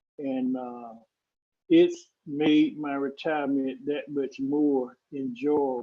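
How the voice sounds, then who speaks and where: Speaking very slowly, a man uses a medium pitch and fairly even intonation. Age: 60s. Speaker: retired public employee giving a finance talk. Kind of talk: presentation. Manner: hesitant, frequent fillers.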